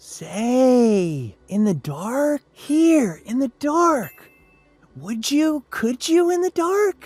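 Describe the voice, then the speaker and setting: With faint music in the background, a put-on character voice speaks very slowly at a fairly high pitch, swinging very widely in pitch. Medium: read story. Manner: eager, bouncy, persistent.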